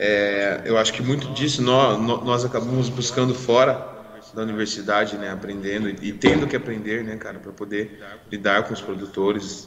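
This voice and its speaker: A moderate pace and fairly even intonation, with audible room echo and noticeable background noise. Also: man. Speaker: podcast co-host, irrigation professional. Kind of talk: casual chat. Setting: live stream.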